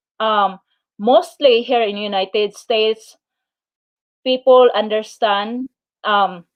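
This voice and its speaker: With a Filipino accent, a woman speaks at a very slow pace in a fairly high pitch, using ordinary pitch variation and long, frequent pauses, with a dry, close sound and no echo. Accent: Filipino accent, noticeable. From Philippines. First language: Filipino/Tagalog. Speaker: YouTuber. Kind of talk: live stream chat. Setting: live stream. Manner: halting, many fillers.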